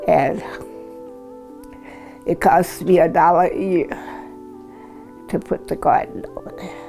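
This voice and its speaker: With music playing behind her, a woman with an American accent speaks at a fairly slow pace, leaving long, frequent pauses as her loudness swings widely. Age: 80s+. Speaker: community matriarch. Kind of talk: oral history interview answer.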